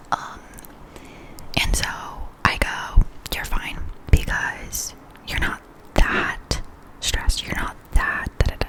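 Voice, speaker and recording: Whispering at a very slow pace, a woman leaves long, frequent pauses with big swings in loudness over noticeable background noise. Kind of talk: ASMR life update, casual talk to camera. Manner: whispered, soft-spoken.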